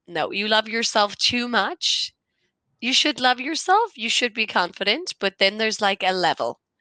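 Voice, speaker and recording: A woman with an Irish accent speaks at a fairly slow pace, her fairly high pitch making very wide swings. Her tone is bright and sharp, the sound dry and close with no echo over a quiet background. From Ireland. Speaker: conversation partner. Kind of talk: casual chat.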